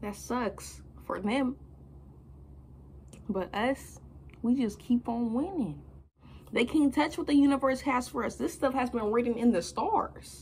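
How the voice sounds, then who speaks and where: A woman speaks at a fairly slow pace with long, frequent pauses. Light background noise sits behind her. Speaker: motivational speaker. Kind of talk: motivational talk to camera. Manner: casual, energetic. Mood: confident, motivational. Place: home room. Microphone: phone near.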